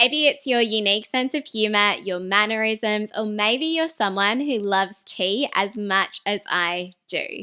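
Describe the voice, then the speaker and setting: A woman with an Australian accent and a bright, sharp tone speaks at a fairly high pitch and a fairly slow pace, with ordinary pitch variation and hardly any pauses, in a very clean recording with a silent background. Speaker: personal branding YouTuber. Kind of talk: scripted talking-head video.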